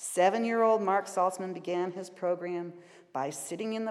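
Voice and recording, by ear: The text is read aloud in a natural voice.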